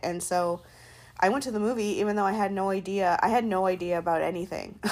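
With an unremarkable speaking voice, a woman talks at a fairly quick pace. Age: 30s. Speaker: podcaster. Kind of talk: solo monologue. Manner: casual, many filler words.

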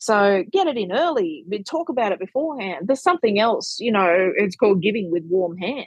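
In an Australian accent, the voice moves at a fairly quick pace with very wide pitch swings. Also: woman, medium pitch for a woman. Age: 40s. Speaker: money educator and author. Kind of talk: podcast interview.

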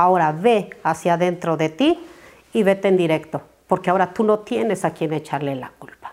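An unremarkable speaking voice, moderately paced, with pitch moving in a typical way. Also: woman, fairly low pitch for a woman. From Mexico. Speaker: businesswoman. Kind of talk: interview.

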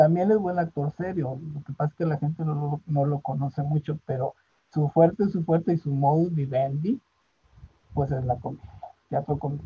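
A man speaks in a fairly high voice with a dark, mellow tone and some breathiness. The sound is dry and close, with no echo. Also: ordinary pitch variation, moderate pace. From northern Mexico, Monterrey. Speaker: theatre director and retired physician. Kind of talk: interview.

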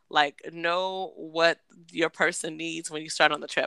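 A woman's fairly low, animated voice with vocal fry and a bright, sharp tone, sounding dry and close with no echo. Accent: American. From Washington State, US. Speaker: podcast co-host. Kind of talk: casual chat. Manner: animated, laughing often.

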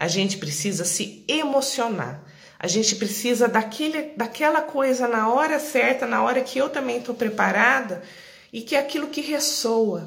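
Speaking at a fairly slow pace, a woman with a rural Brazilian accent uses a fairly high pitch with very wide pitch swings. Her voice carries audible room echo. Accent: Brazilian countryside. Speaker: live-stream wellness host. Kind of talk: live-stream monologue. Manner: conversational.

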